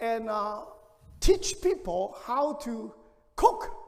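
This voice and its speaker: A man talks with a Hong Kong accent, his pitch swinging very widely. Audible room echo fills the space. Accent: Hong Kong Cantonese-accented English. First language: Cantonese. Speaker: pastor. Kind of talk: sermon. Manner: halting.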